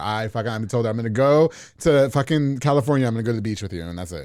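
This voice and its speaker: A man talking at a very fast clip. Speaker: podcast host. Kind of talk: casual podcast conversation.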